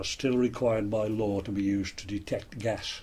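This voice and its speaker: A man with a West Midlands accent speaks in a fairly low, somewhat breathy voice. His intonation stays fairly even. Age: 60s. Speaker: retired coal miner. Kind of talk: interview. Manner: halting, with frequent fillers.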